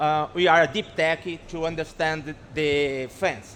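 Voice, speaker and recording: This man's voice sits at a fairly high pitch. He speaks with a Brazilian accent. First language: Portuguese. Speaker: startup founder pitching. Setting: stage with audience. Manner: halting.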